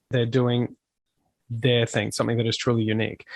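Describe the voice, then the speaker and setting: A man with an Australian accent speaks at medium pitch, the sound dry and close with no echo. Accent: Australian twang. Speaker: touring metal musician. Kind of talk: podcast interview. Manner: animated.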